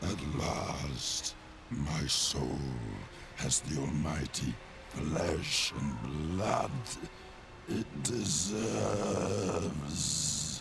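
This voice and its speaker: Loud background noise fills the recording. A man uses a put-on character voice and speaks at a very slow pace. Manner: menacing, impactful.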